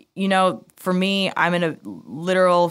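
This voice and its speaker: A woman with an American accent speaks at a moderate pace in a plain, everyday voice. The recording is very clean, with a silent background. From United States. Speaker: music marketing executive. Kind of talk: interview. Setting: studio.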